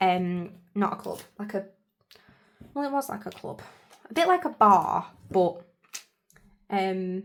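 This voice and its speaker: A woman at medium pitch, fairly slow and with lively intonation, big swings in loudness and long, frequent pauses. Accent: English. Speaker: planner vlogger. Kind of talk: casual tutorial chat. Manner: hesitant, lots of fillers.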